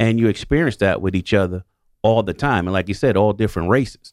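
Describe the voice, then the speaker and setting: A man speaks with a New York accent at a fairly low pitch. The sound is dry and close with no echo. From New York City. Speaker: retired police detective and basketball coach. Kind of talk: radio panel discussion. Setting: radio studio.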